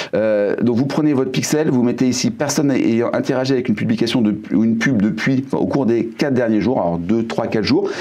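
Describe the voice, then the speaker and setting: At a fairly quick pace, a man speaks with a medium pitch, ordinary pitch variation and very even loudness, with audible room echo and noticeable background noise. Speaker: YouTube marketing trainer. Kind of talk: tutorial. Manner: fast; hesitant, many fillers.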